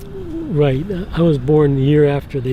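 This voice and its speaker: With an American accent, a man speaks in a fairly high pitch with ordinary pitch variation, alongside noticeable background noise and audible room echo. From Port Huron, Michigan, US. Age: 70s. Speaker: retired draftsman, local resident. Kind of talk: casual chat. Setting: outdoors. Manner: halting.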